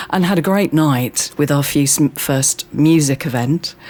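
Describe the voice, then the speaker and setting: A woman with a very deep, low voice speaks at a very slow pace with ordinary pitch variation over noticeable background noise. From Birmingham, England. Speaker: community centre manager. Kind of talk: casual interview chat.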